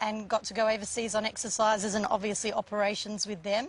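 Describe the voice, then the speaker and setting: Fairly quick, fairly high-pitched woman with an Australian accent amid noticeable background noise. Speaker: air force officer. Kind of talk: TV interview answer.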